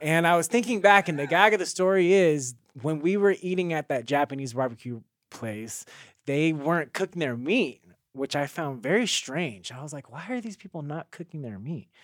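A man with an American accent and an ordinary speaking voice talks at a fairly high pitch and a moderate pace, with lively intonation and big swings in loudness. The very clean recording has a silent background and a dry, close sound with no echo. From Carson, California, US. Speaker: dancer and singer. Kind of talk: casual chat.

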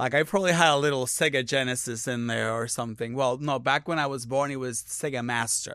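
A man speaks at a very fast pace with a Puerto Rican accent, barely pausing. His tone is bright and sharp. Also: fairly even intonation. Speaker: drag performer. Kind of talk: casual comedic chat. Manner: chatty, loud when high.

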